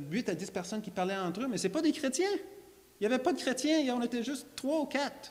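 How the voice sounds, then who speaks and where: Over noticeable background noise, a man with an English accent talks at a moderate pace with very wide pitch swings. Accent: English-speaker accent in French, lasting. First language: English (speaking French). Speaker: creationist lecturer. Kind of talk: church talk, testimony. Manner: halting, many repetitions and fillers.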